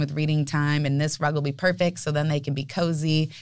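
With an American accent, a woman speaks at a very fast pace with a very deep, low pitch. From San Diego, California. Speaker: family flooring business leader. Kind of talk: interview. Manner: friendly, chatty.

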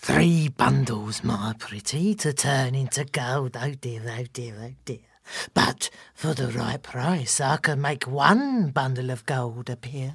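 In a put-on character voice, the speaker goes at a fairly slow pace with a low-to-middle pitch. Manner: gross, wheedling.

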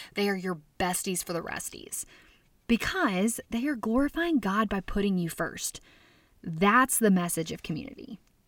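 With an American accent, the speaker sounds animated and passionate, with lively intonation at a moderate pace. The recording is very clean, with a silent background. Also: woman, medium pitch for a woman. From US South, Arkansas. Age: 30s. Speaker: food blogger and speaker. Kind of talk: conference talk. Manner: animated, passionate.

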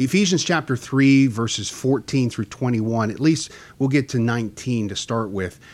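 A man speaks in a normal speaking voice at a moderate pace and medium pitch, with ordinary pitch variation. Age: 40s. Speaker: church Bible study host. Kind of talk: Bible study discussion.

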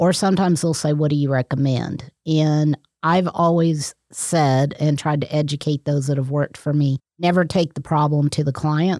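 A woman with an American accent speaks at a moderate pace in a very deep, low voice with a dark, mellow tone and fairly even intonation. The sound is dry and close, with no echo. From Texas. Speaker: certified property manager. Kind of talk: interview.

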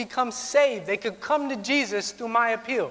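Over noticeable background noise, a man with high pitch and ordinary pitch variation speaks at a fairly quick pace. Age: 20s. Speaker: pastor. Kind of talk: sermon.

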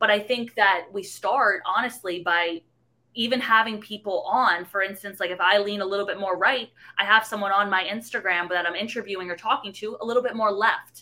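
A woman with a slight New York accent, a medium pitch, a bright, sharp tone, fairly even intonation and a fairly quick pace. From the Bronx, New York City. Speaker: young journalist turned activist. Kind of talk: casual interview.

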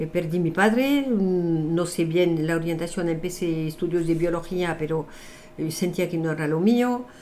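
Fairly slow speech from a woman with a fairly low pitch, plus audible room echo. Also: ordinary pitch variation. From France. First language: French (speaking Spanish). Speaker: numerologist and author. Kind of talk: interview.

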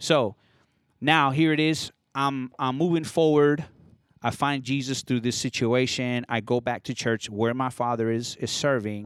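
In an ordinary speaking voice, a man talks at a medium pitch with fairly even intonation. The recording is very clean, with a silent background. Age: 30s. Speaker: DJ. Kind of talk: testimony. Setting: cigar shop recording.

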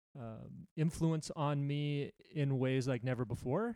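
A medium-pitched man with an American accent, fairly slow and fairly even in intonation. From California, US West Coast. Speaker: podcast host. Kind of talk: casual chat.

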